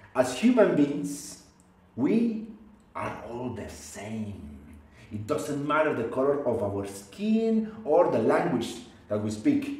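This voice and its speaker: Room echo is audible as a man with a fairly high pitch speaks very slowly, his pitch swinging very widely. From Colombia. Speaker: oral storyteller. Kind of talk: live oral storytelling performance. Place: home room.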